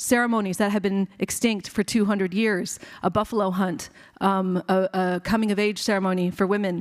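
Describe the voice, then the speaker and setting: In a very clean recording with a silent background and a dry, close sound with no echo, a woman talks at a fairly quick pace in a flat monotone. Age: 50s. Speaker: physician and activist. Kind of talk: keynote speech.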